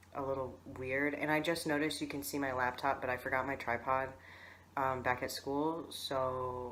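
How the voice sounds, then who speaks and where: He has a bright, sharp tone and a fairly even intonation at a moderate pace. Audible room echo surrounds the man's voice. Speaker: vlogger. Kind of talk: video diary. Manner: casual, many fillers.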